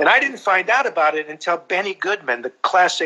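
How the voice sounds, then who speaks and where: A raised, projected voice with a bright, sharp tone at a moderate pace, over a quiet background. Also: man. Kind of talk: interview answer, storytelling. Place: home room. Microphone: video call.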